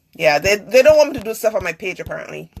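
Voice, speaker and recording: A woman is speaking. Her pitch swings very widely. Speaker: live-stream talk show host. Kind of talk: casual live-stream chat. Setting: live broadcast on social media. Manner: fast.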